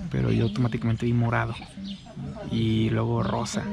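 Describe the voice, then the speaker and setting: A man's dry, echo-free voice over loud background noise. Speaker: travel vlogger. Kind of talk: casual talk to camera. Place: garden. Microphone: phone near.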